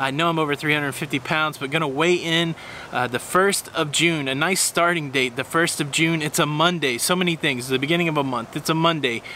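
A man at a fairly quick pace with hardly any pauses, dry sound with no echo, and light background noise. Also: fairly high pitch for a man, fairly even intonation. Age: 40s. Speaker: vlogger, educator and entertainer; vlogger. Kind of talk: personal vlog monologue. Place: home room.

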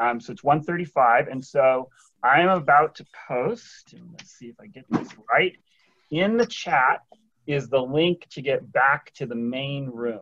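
A man's fairly high, bright, sharp voice with an American accent, at a very slow pace, with ordinary pitch variation and big swings in loudness. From Oregon. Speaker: meeting moderator. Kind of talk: meeting facilitation. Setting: video call. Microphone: video call.

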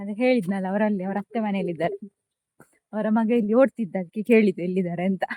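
A woman speaks in a dark, mellow tone with fairly even intonation. The sound is dry and close, with no echo. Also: medium pitch for a woman. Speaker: vlogger. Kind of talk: casual vlog narration.

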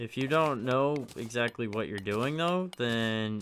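A quiet man at a fairly slow pace with ordinary pitch variation, in a very clean recording with a silent background. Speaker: gaming video creator. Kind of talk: let's play commentary. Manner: halting, hesitant.

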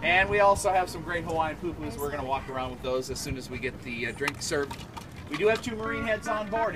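Clear music plays in the background. Over it, a man talks very fast. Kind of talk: safety briefing to passengers. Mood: humorous, jokey. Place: boat. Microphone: camera far.

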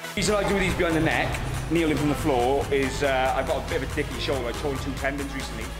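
With loud music in the background, a man talks at a very fast pace. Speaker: bodybuilder vlogger. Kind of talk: casual vlog chat. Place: gym.

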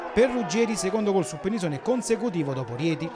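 A man talks at a fairly quick clip in an animated, energetic tone with very wide pitch swings, over noticeable background noise. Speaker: football match commentator. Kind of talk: live-style sports commentary, recapping match highlights. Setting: voiceover on match footage. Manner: brisk, animated play-by-play delivery, rattling off minutes, names and scores; punchy, energetic, rising on goals.

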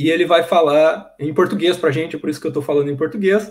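A man talks at a fairly quick pace, somewhat breathy, with ordinary pitch variation. The background is quiet. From Brazil. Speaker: professor, seminar host; host introducing a speaker. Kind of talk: speaker introduction. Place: home room. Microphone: webcam.

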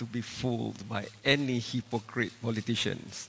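A man speaks with a Malaysian accent. His pace is moderate. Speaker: panel moderator and journalist; panel moderator, journalist. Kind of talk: moderated panel discussion. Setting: stage with audience. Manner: animated. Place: hall. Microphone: handheld.

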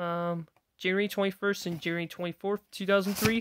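A woman speaks with monotone, flat intonation. Light background noise is present. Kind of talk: casual collection showcase. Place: home room. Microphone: phone near.

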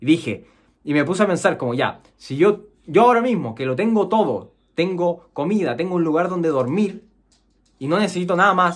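A high-pitched man at a moderate pace, lively intonation, quiet background. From Chile. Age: 20s. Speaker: programmer and YouTuber; YouTuber. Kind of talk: personal story monologue; casual vlog chat. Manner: casual with many fillers. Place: home room.

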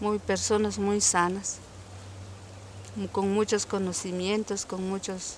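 A woman's very slow, monotone, flat speech, dry with no echo, over light background noise. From Zacualpa, Guatemala. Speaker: medicinal plant knowledge advocate. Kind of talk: interview answer. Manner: hesitant, reflective. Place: farm.

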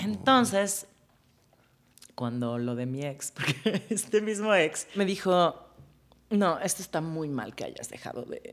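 A woman speaks very slowly at a fairly low pitch, with long, frequent pauses. Her pitch swings very widely and her loudness rises and falls sharply. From Mexico City. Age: 40s. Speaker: music supervisor; podcast guest. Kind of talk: casual chat. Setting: studio. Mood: warm, lively, reflective. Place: studio. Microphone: studio mic.

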